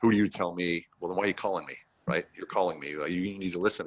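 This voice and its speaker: Delivered at a very fast pace, the speech comes with an American accent. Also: man. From United States. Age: 50s. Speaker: veteran business consultant. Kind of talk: podcast interview. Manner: casual, halting.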